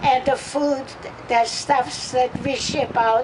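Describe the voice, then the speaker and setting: There is noticeable background noise as a woman speaks at a very slow pace. Her high-pitched voice stays monotone and flat. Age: 80s+. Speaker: activist. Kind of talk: protest rally speech. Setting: outdoors.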